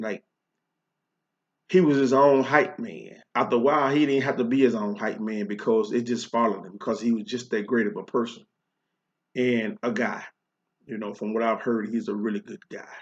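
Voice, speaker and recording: In a Southern US accent, a man speaks at a moderate pace with medium pitch and ordinary pitch variation. He leaves long, frequent pauses. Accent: country Southern. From Mississippi. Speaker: video blogger. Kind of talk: casual monologue. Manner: animated.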